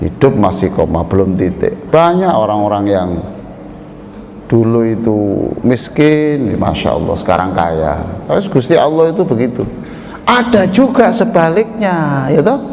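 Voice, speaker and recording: Amid noticeable background noise and audible room echo, a man speaks fairly slowly with a fairly high pitch and very wide pitch swings. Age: 60s. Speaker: preacher, professor. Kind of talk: dawn mosque sermon. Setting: mosque with congregation. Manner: animated, engaging the audience.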